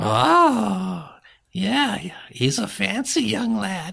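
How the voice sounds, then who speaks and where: This is a put-on character voice at a low-to-middle pitch. It moves at a very slow pace. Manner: folksy, sweet, stubborn.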